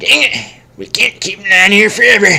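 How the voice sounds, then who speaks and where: Using a put-on character voice, the speaker talks at a moderate pace with a fairly high pitch. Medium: read story. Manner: panicky.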